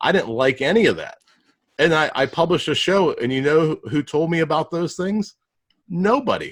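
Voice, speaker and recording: A man's high-pitched voice at a moderate pace, with lively intonation. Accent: Pittsburgh. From Pittsburgh, US. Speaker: podcast host and digital marketer. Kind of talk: podcast interview.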